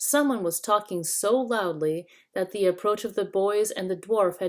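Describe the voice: This is plain reading aloud, with pitch that rises and falls in an ordinary way.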